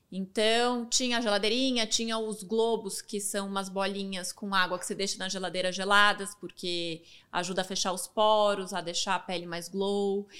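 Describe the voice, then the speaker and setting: On a very clean recording with a silent background, a woman speaks at medium pitch and a moderate pace in a monotone, flat intonation with hardly any pauses. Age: 30s. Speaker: fashion influencer and entrepreneur. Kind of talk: casual interview chat.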